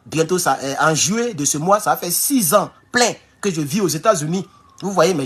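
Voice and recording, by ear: Spoken at a fairly slow pace with an African accent, the clip carries noticeable background noise.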